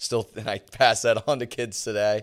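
Speaking with an American accent, a man goes at a fairly slow pace with ordinary pitch variation. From Philadelphia area. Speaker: professional lacrosse player and coach. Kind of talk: casual interview.

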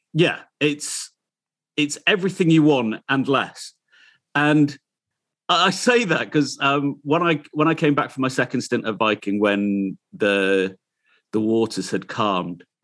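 This man speaks with a Yorkshire accent at a fairly slow pace. His voice sits fairly high, and its pitch swings very widely. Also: quiet background. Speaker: radio presenter. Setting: video call.

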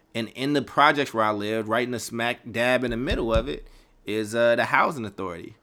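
This man speaks at a fairly quick pace with an American accent. His pitch is medium, with ordinary variation. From Chicago, Kentucky, Oakland. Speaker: podcast host and organization founder. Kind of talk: casual solo podcast monologue. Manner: candid, conversational.

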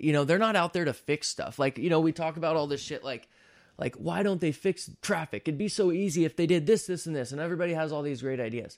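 A man's fairly high voice at a very fast pace, ordinary pitch variation, on a very clean recording with a silent background. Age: 30s. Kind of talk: casual chat. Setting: studio. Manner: animated.

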